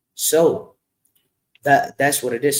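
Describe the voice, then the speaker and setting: A man speaks with a non-native accent. His voice is somewhat breathy. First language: not English. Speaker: music artist. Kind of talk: interview. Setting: live stream. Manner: halting.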